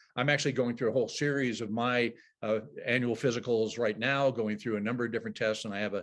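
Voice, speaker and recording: A man's very fast, monotone, flat delivery at a medium pitch against a quiet background. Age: 70s. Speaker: dive safety expert and presenter. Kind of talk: lecture. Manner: measured, explanatory with filler uhs.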